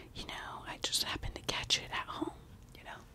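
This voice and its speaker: Soft-spoken and whispering, a woman talks at a moderate pace over noticeable background noise. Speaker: makeup vlogger. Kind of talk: casual ASMR-style makeup chat. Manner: soft close-mic ASMR whisper. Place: home room. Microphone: studio mic.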